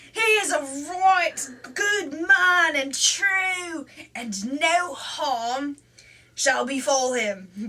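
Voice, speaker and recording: A woman puts on a character voice at a high pitch with very wide pitch swings. She speaks at a very slow pace. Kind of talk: archaic storybook dialogue. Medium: read story. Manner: hearty, laughing.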